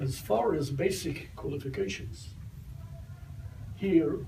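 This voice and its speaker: A man's voice with lively intonation and audible room echo. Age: 80s+. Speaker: retired army general. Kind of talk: talk answering audience questions.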